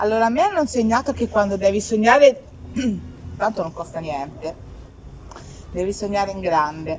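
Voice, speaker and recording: Music plays in the background as a woman speaks with lively intonation and big swings in loudness. Her pace is moderate, with long, frequent pauses. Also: medium pitch for a woman. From Tuscany. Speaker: rock singer and keyboardist. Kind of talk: casual chat. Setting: live event venue.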